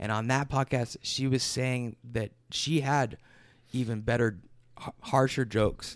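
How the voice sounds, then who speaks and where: In a very clean recording with a silent background, a man with a Midwestern American accent speaks at a medium pitch and fairly slow pace with fairly even intonation. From Michigan, near Detroit. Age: 20s. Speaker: musician. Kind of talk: casual chat.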